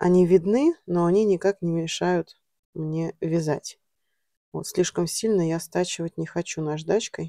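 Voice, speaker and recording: A woman's dark, mellow tone at a fairly slow pace, with a dry, close sound and no echo. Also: fairly low pitch for a woman, fairly even intonation. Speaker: knitting vlogger. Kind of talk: casual vlog tutorial. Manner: chatty.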